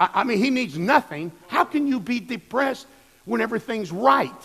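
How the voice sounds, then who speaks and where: A man with an American accent talks with very wide pitch swings. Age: 60s. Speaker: pastor. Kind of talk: sermon.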